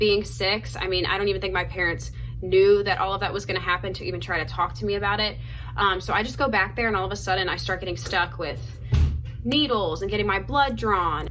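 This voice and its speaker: With music in the background and audible room echo, a woman talks at a fairly quick pace. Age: 20s. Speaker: lifestyle vlogger. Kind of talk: storytime monologue. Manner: fast; casual, filler-heavy.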